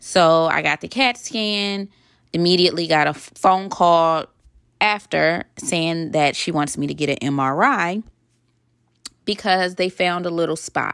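A woman speaks at a fairly slow pace with a fairly low pitch and ordinary pitch variation. Her tone is animated, and the recording is very clean with a silent background. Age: 30s. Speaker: podcast host and wardrobe stylist. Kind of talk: casual monologue.

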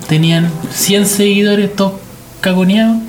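Speaking with a Chilean accent at a high pitch and moderate pace, a man keeps a fairly even intonation amid noticeable background noise and audible room echo. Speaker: film podcast co-host. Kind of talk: casual chat.

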